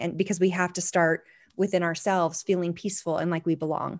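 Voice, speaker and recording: With an American accent and an unremarkable speaking voice, the speaker moves at a fairly quick pace on a very clean recording with a silent background. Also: woman. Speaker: professional organizer. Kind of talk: casual interview chat.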